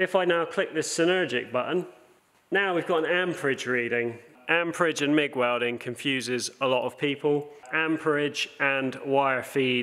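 A man's voice with very even loudness and ordinary pitch variation. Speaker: welding instructor. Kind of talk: tutorial. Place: workshop.

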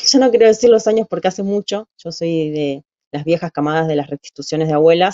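Against a quiet background, a woman speaks with a fairly low pitch and ordinary pitch variation. The sound is dry, with no echo. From Buenos Aires, Argentina; Argentina. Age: 40s. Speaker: human rights testimony guest; interviewee. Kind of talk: interview testimony. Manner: halting, frequent filler 'eh'. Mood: calm, reflective, serious. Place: home room. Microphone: video call.

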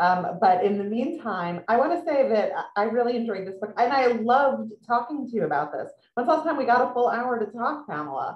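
Her fairly high voice showing vocal fry and very wide pitch swings, a woman talks at a fairly quick pace with audible room echo. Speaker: author and magazine writer, interviewer; interviewer. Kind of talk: author interview. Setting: video call. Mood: warm, lively. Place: home room. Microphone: video call.

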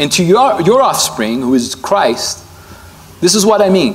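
This is a man's voice. His pitch swings very widely. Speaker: preacher. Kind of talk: sermon. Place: hall. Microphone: lapel.

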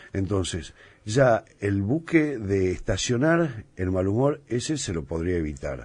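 The man's voice is fairly low and somewhat breathy, with very wide pitch swings. He speaks at a very slow pace. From Argentina. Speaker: chef and restaurant owner; interview guest. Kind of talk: casual interview. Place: studio.

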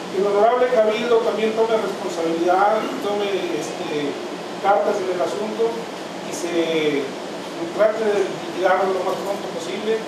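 A man's voice with ordinary pitch variation amid loud background noise and audible room echo. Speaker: merchant addressing council. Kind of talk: public address to council. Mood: earnest, insistent complaint. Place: meeting room. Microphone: camera far.

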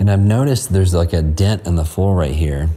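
A man speaks with a very deep, low pitch. Faint music plays in the background. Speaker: urban explorer vlogger. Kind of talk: casual vlog narration. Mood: awed, admiring. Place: hall. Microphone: phone near.

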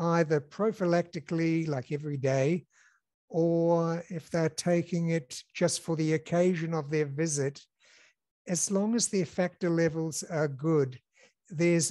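A man speaks at a fairly slow pace with high pitch. His intonation stays fairly even against a quiet background. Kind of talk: interview answer. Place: office. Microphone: headset.

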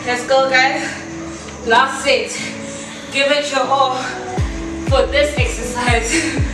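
A woman's high, monotone, flat voice at a very slow pace with very even loudness, audible room echo and clear music in the background. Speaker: fitness instructor. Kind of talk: workout coaching instructions. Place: gym. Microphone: camera far.

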